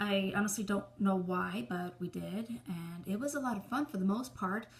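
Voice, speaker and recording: With an American accent, a woman speaks with ordinary pitch variation against noticeable background noise. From New York City, Brooklyn. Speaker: indie author. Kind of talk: casual talk to camera about her book. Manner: casual, hesitant with fillers.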